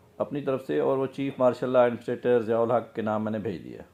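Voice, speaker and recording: The speaker has a normal speaking voice. Pitch varies in an ordinary way. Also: man. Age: 50s. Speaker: businessman. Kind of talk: casual talk to camera, personal story.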